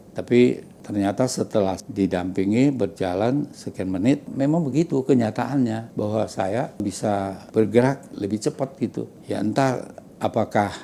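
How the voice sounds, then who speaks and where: A man's dark, mellow voice, fairly low in pitch, with ordinary pitch variation and a fairly slow pace. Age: 80s+. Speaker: hospital patient. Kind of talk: patient testimony. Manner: halting, with self-corrections.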